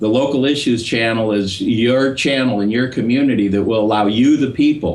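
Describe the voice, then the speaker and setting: Audible room echo surrounds a man of medium pitch speaking at a fairly quick pace. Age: 60s. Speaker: political activist. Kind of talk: interview.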